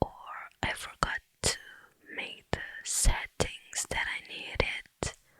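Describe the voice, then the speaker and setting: A woman's gentle whispering at a very slow pace, broken by long, frequent pauses. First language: not English. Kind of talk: ASMR Q&A talking to camera. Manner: gentle, soft-spoken, whispered.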